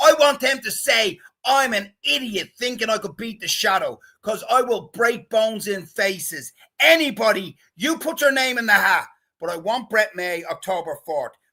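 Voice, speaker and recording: A man projects a raised, high-pitched voice with a bright, sharp tone. His delivery is animated, with lively intonation. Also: moderate pace. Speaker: amateur boxer. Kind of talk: casual chat. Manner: loud.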